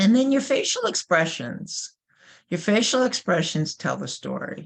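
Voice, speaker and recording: Her New York accent clear, a woman speaks fairly slowly with lively intonation. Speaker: corporate trainer. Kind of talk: webinar presentation.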